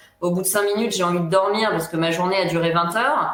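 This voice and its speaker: Her voice carries audible room echo, and noticeable background noise runs underneath. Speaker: psychologist. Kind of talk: interview. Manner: emotional, not neutral; halting, many fillers.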